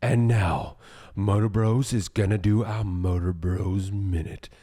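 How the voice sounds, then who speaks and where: A man uses a put-on character voice with a dramatic tone. He speaks at a fairly low pitch and a fairly slow pace. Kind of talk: announcer. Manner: dramatic, booming.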